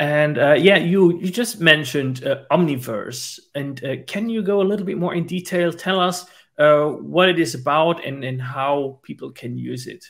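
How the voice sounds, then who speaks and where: At a moderate pace with hardly any pauses, a man uses a normal speaking voice, fairly high in pitch, with ordinary pitch variation and big swings in loudness. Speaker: podcast host. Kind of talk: interview.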